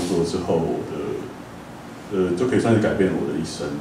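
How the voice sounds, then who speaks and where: A man with a Taiwanese accent speaks at a moderate pace in a very deep, low pitch, with audible room echo and light background noise. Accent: Taiwanese Mandarin. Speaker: cafe owner. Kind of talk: lecture talk, conversational. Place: hall.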